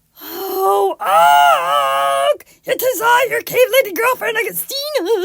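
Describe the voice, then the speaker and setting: A put-on character voice, sing-song and at a fairly slow pace. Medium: read story. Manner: affected, sing-song beautiful voice.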